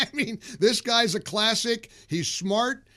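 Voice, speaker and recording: Here a man speaks at a fairly slow pace with a bright, sharp tone. The recording is very clean, with a silent background. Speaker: conservative talk show host. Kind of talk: radio interview questions. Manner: enthusiastic.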